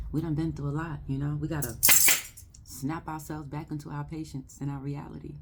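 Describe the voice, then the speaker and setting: Music plays behind a woman whose voice sits at a very deep, low pitch, with monotone, flat intonation. She talks at a fairly quick pace, and the room echo is audible. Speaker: spiritual card reader. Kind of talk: live oracle card reading. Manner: whispering at times; casual, affirming.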